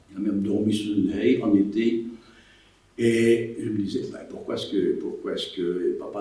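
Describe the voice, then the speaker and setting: Moderate-paced male speech amid audible room echo and noticeable background noise. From Belgium, Wallonia (Liège province). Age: 80s+. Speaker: war witness. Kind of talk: testimony. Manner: halting.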